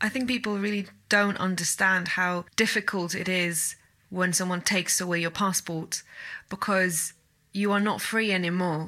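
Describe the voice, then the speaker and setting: A woman's bright, sharp voice of medium pitch with fairly even intonation, in a very clean recording with a silent background. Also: moderate pace. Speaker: podcast host. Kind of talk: interview.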